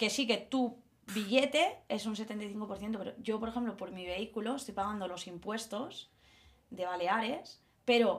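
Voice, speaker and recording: An unremarkable speaking voice from a woman at medium pitch, with ordinary pitch variation and a fairly slow pace. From Mallorca, Spain. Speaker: primary school teacher. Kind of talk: casual chat. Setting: recording at home.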